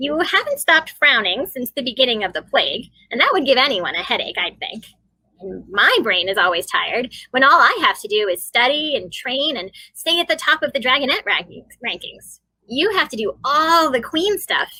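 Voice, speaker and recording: A woman puts on a character voice. It sits at a high pitch. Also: moderate pace. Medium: read story. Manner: frank, teasing.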